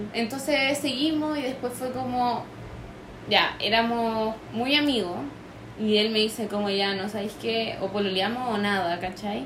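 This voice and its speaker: With a Chilean accent, a woman speaks fairly slowly at a fairly high pitch with ordinary pitch variation, amid audible room echo and noticeable background noise. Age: young. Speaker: abuse survivor. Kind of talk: testimony.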